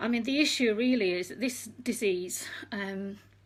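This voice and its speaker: This voice is somewhat breathy, with ordinary pitch variation. It carries an English accent. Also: woman. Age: 60s. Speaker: retired nurse. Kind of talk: talk to an online group. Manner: hesitant, many fillers.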